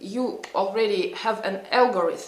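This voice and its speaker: A woman with a non-native accent talks in very wide pitch swings over noticeable background noise, with audible room echo. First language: not English. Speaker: psychologist and vlogger. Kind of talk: casual vlog talk. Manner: halting, many fillers.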